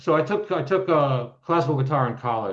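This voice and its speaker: Using an ordinary speaking voice, a man talks at a moderate pace with ordinary pitch variation. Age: 60s. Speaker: composer and guitarist. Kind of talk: casual chat.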